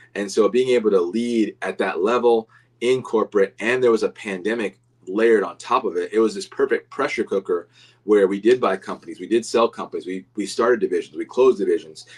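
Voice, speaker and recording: The audio is dry and close, with no echo at all. In it, a man speaks fairly quickly. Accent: American. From Florida. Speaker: business coach. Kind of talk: livestream talk. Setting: livestream. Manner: fast.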